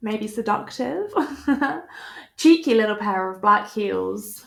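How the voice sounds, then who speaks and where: A woman speaks with a British accent. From United Kingdom. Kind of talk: casual product review to camera. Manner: upbeat, chatty.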